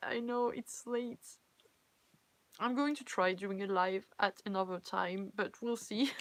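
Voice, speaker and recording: A woman with a French accent at a fairly slow pace, ordinary pitch variation, and long, frequent pauses. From France. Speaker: cosplayer and fanfiction reader. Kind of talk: casual live-stream chat. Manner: halting, self-correcting.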